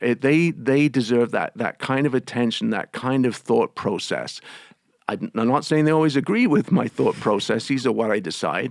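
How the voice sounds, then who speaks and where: With a slight English accent, a man speaks at a moderate pace with lively intonation, vocal fry and very even loudness. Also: medium pitch for a man. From England. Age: 50s. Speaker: union president. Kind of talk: interview. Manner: halting, many repetitions and fillers.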